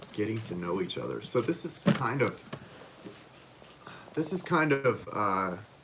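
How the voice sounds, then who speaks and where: Medium-pitched speech from a man with very wide pitch swings and long, frequent pauses over noticeable background noise. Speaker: tarot reader. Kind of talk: live stream tarot reading. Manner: hesitant, many fillers.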